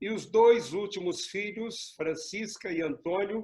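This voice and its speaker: This man talks at a very slow pace. The recording is very clean and the background silent. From southern Minas Gerais, Brazil (Pouso Alegre). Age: 60s. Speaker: pastor. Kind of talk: interview.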